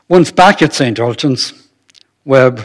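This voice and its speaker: A man talks with ordinary pitch variation. The background is quiet. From Ireland. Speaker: retired anaesthetist giving a history talk. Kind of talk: lecture. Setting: stage with audience. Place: hall. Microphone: podium.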